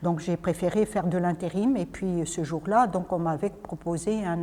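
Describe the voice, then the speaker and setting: Very clean recording with a silent background, a woman's dark, mellow, fairly low voice at a moderate pace with ordinary pitch variation. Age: 60s. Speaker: spiritual speaker, former psychiatric nurse. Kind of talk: talk to a group, personal story. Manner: hesitant, many fillers.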